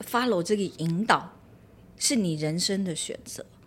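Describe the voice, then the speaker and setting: A woman talks with a medium pitch. The background is silent and the recording very clean. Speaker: speaking coach. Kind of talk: casual chat. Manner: gentle, unhurried.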